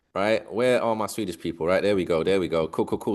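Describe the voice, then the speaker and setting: A man with a London accent, an animated tone and lively intonation, against a quiet background. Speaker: business community leader. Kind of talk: video call hosting. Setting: video call.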